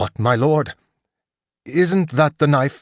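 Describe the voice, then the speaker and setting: A man uses a raspy, put-on character voice at a fairly high pitch. The sound is dry and close with no echo, over a quiet background. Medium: read story. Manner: deferential, formal.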